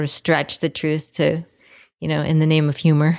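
A woman with an American accent has a very deep, low pitch. She talks at a fairly quick pace. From California, Los Angeles area. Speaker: cartoonist and hiker. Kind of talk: interview.

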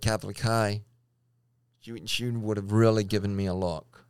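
On a very clean recording with a silent background, a man speaks with a Louisiana accent. He keeps a moderate pace at a fairly low pitch, with monotone, flat intonation. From Louisiana, Baton Rouge. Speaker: engineer sharing personal transgender faith story. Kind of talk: personal testimony in interview. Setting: studio, in person.

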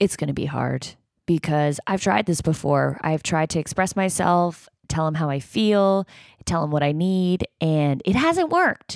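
On a very clean recording with a silent background, a woman speaks in an unremarkable speaking voice at a fairly slow pace, her pitch fairly low with ordinary variation. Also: dry, close sound with no echo. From Canada, Toronto. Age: 30s. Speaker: podcast host. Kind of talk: casual chat; video diary monologue.

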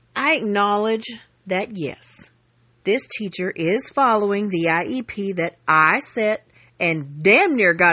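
Someone speaks at a very slow pace in a Southern US accent. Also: woman. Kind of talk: angry rant, reading aloud her own furious parent-group post. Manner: grouchy, blunt and profane, refusing to play nice; exasperated, sarcastic venting with emphatic asides to viewers.

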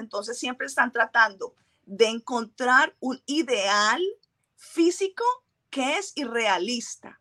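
A woman projects a raised voice at a high pitch with a bright, sharp tone. She speaks at a fairly slow pace, and the sound is dry and close with no echo. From Colombia. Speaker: trichologist and microbiologist. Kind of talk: interview.

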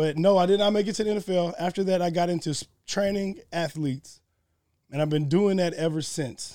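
Here a man speaks with a high pitch and a dark, mellow tone. His pace is fairly quick and his intonation fairly even. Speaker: strength coach and former football player. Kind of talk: casual chat. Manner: fast.

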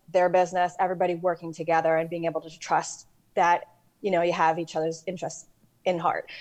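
Against a quiet background, a woman with a New York accent speaks at a fairly quick pace. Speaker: real estate lending software rep. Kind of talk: interview. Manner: direct.

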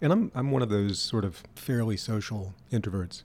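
A man with an American accent, fairly low in pitch, with ordinary pitch variation. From Louisiana, US. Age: 50s. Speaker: interviewer, musician.

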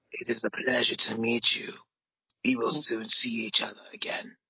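A put-on character voice at a low-to-middle pitch moves along at a moderate pace. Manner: formal, dutiful.

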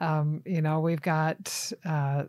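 In an American accent, a woman speaks at a fairly low pitch with a dark, mellow tone on a very clean recording with a silent background. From US South (Tennessee and Florida). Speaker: wildlife agency small game program manager. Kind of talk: casual interview.

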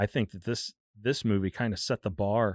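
On a very clean recording with a silent background, an unremarkable speaking voice moves at a moderate pace with ordinary pitch variation, dry and close with no echo. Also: man. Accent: American. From US Midwest, St. Louis. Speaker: comic book fan. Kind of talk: casual chat. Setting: studio.

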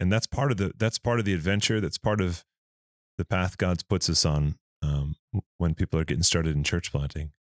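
A man talks in a very deep, low pitch on a very clean recording with a silent background. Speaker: church media and communications worker. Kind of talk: podcast hosting.

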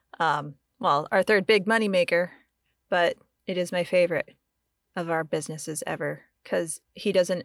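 A woman with an American accent and an unremarkable speaking voice talks at a moderate pace in a fairly low pitch with fairly even intonation, captured in a very clean, dry, close recording with no echo and a silent background. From US, grew up in the woods. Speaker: podcast producer and Air Force veteran. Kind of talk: casual chat.

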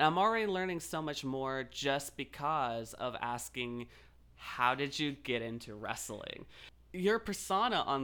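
This man has a fairly high pitch and a bright, sharp tone, with an American accent. He speaks at a fairly slow pace with lively intonation. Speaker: podcast host. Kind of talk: casual interview chat.

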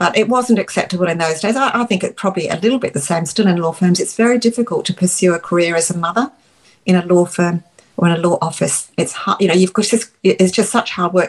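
A woman with an Australian accent, somewhat breathy at a medium pitch, with ordinary pitch variation and a very fast pace. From England, Dorset. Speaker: retired lawyer, parent. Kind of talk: casual interview.

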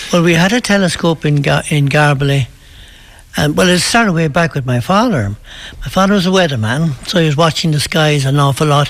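Over noticeable background noise, a man with an Irish accent speaks fairly quickly in a fairly high voice with lively intonation. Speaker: local priest. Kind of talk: casual interview.

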